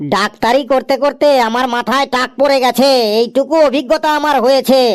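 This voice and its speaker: This is a cartoonish character voice set at a high pitch. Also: moderate pace. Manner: interrupting, presumptuous.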